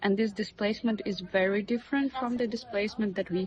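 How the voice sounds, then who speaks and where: Speaking at a fairly quick pace, a woman with a Russian accent shows ordinary pitch variation. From Russia (Karelia region). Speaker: media artist. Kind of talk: interview. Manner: halting, many fillers.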